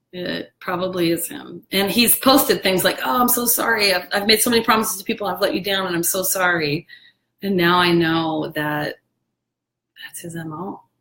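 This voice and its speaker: At a moderate pace and medium pitch, a woman with a normal speaking voice shows ordinary pitch variation and big swings in loudness. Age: 40s. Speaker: live streamer. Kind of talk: casual chat. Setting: live video stream.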